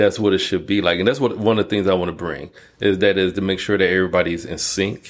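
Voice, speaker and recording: Talking at a very fast pace, a man with a very deep, low pitch keeps his intonation fairly even. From Detroit, Michigan, US. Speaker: college dean of allied health. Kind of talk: casual interview.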